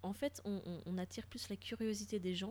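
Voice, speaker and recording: A woman speaks at a moderate pace with fairly even intonation. Her tone is dark and mellow, at a medium pitch. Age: 30s. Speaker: podcast co-host sharing travel experiences in Japan. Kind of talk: casual chat.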